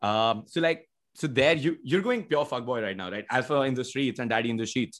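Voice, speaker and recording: Speaking with an Indian accent at a fairly quick pace, the voice shows ordinary pitch variation against a quiet background. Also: man, medium pitch for a man. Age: 20s. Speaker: podcast host. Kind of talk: casual chat.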